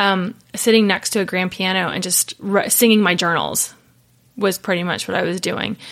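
A speaker with an Ohio accent talks at a moderate pace in a flat monotone. The recording is very clean, with a silent background. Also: woman, medium pitch for a woman. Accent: Midwestern US (Ohio). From Ohio, Cincinnati. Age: 30s. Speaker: worship pastor. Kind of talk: casual interview chat.

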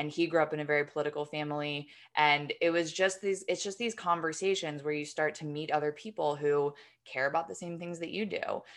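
With an American accent, a woman of very deep, low pitch talks at a fairly quick pace with fairly even intonation against a quiet background. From New York. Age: 30s. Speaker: screenwriter and newsletter co-founder. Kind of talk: interview conversation.

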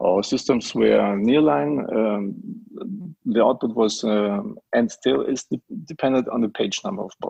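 A man with a German accent at a fairly slow pace, in a dry, close sound with no echo. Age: 40s. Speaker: print company managing director. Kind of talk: interview. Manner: halting, many fillers.

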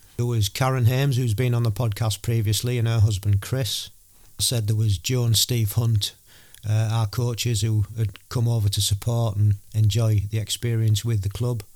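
Somewhat breathy and monotone, a man with an English accent speaks at a medium pitch and a moderate pace. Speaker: podcast host and amateur triathlete. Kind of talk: podcast intro monologue.

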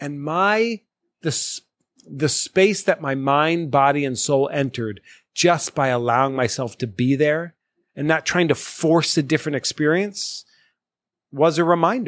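A man with a fairly high pitch and an unremarkable speaking voice talks at a fairly slow pace with ordinary pitch variation, in a dry, close recording with no echo. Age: 40s. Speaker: podcast guest, former program participant. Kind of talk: casual chat. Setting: in-person studio recording in Boston.

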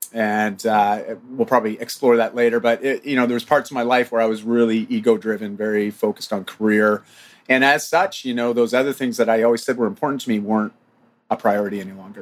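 Speaking very fast, a man talks with a Canadian accent. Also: medium pitch for a man. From Ontario, Canada. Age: 40s. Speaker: fitness coach and men's group co-founder. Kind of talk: casual interview chat. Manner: animated.

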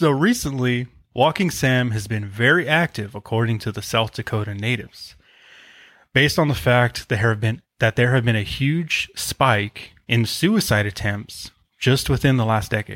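A man's plain, everyday voice at medium pitch and moderate pace, with ordinary pitch variation and a dry, close sound with no echo. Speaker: podcast co-host. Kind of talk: casual chat. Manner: laughs often.

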